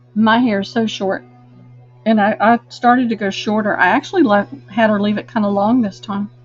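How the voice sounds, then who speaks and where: Music plays in the background as a woman talks in a fairly high voice. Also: ordinary pitch variation, fairly quick pace. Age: 60s. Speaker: online live sale host. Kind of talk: live sales stream chat. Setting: live video stream from a room, camera mic. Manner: chatty.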